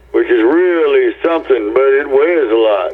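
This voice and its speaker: A man speaks with an American accent. Noticeable background noise is heard behind him. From US Pacific Northwest, Tacoma, Washington. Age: 70s. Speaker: rock guitarist. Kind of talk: interview. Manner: halting, many fillers.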